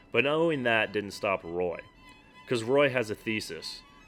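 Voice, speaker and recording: Over music in the background, a man speaks in a deadpan tone at a medium pitch. His pace is moderate. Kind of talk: sardonic finance commentary narration. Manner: sarcastic, deadpan.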